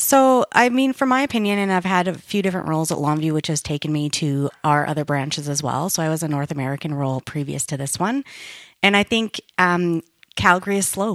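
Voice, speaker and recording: A woman with a Canadian Prairies accent, fairly low in pitch, with very wide pitch swings at a fairly quick pace, in a dry, close sound with no echo on a very clean recording with a silent background. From Winnipeg, Canada. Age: 40s. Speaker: IT company manager. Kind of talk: interview conversation. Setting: studio.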